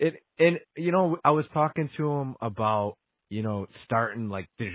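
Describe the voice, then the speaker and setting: A man with an American accent talks in an ordinary speaking voice. His pace is moderate and his intonation lively. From Buffalo, New York. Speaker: podcast host. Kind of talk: casual interview chat.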